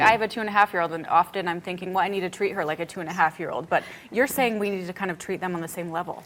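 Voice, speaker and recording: Over noticeable background noise, a woman talks at a very fast pace with medium pitch and fairly even intonation. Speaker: TV lifestyle show host. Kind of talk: TV talk show host questions.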